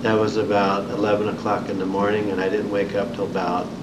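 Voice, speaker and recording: There is loud background noise behind a man speaking with an American accent. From Indiana, US Midwest. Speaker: Vietnam War veteran. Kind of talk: oral history interview, recalling war experiences and wounds. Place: meeting room.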